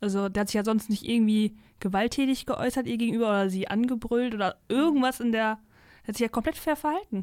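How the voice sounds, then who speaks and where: Speaking at a very fast pace, a woman with a fairly high pitch and ordinary pitch variation is heard on a very clean recording with a silent background. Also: very even loudness. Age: 20s. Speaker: university student and book reviewer. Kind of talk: casual book discussion. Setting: studio.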